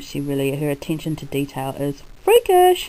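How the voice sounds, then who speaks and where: Dark and mellow in tone, this woman's voice sits very deep and low in pitch. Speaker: crafter and video blogger. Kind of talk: casual chat. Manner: chatty, with frequent ums.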